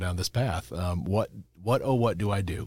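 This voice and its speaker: On a very clean recording with a silent background, a man with an American accent talks at a fairly quick pace, his very deep, low pitch somewhat breathy. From Chicago suburbs, US Midwest. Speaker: lawyer, bar ethics counsel. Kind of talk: casual interview.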